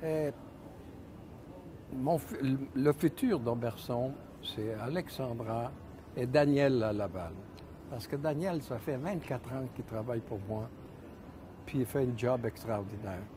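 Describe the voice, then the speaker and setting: A man's medium-pitched voice with ordinary pitch variation, very slow pace and long, frequent pauses, over noticeable background noise. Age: 70s. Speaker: ski shop owner. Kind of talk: interview. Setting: studio. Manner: halting. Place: shop.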